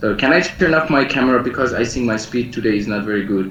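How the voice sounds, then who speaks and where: With noticeable background noise, a man talks in a room that has audible echo. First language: not English. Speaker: lecturer and researcher. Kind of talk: online lecture. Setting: video call. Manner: halting, many fillers. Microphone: poor internet connection.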